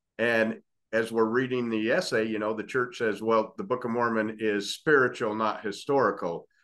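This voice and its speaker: A man with a normal speaking voice at a medium pitch, moderate pace and fairly even intonation, against a quiet background. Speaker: podcast co-host. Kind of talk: interview conversation.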